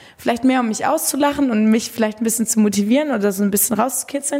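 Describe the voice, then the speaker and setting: Over noticeable background noise, a woman with a high voice talks very fast with ordinary pitch variation. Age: 20s. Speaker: funeral director. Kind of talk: casual interview. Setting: funeral home. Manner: calm.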